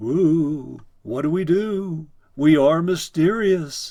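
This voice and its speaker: Speaking very slowly, this man uses a put-on character voice. The act is drawn out at that unhurried pace. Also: fairly high pitch for a man. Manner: spooky; mock mysterious.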